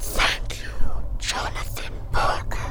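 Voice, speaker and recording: A whispered, put-on character voice. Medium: audio drama. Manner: stiff, formal, uses we.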